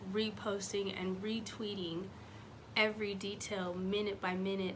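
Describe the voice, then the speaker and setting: A woman talks at a fairly slow pace in a calm tone. Her intonation is monotone and flat, and room echo is audible. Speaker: faith vlogger. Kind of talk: casual talk to camera.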